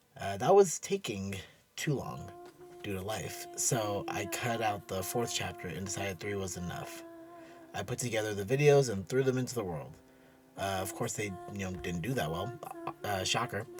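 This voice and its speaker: A man speaks at a fairly low pitch and a moderate pace, leaving long, frequent pauses. Music plays in the background. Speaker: writer and painter, channel owner. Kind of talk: casual channel intro monologue. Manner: hesitant, many fillers.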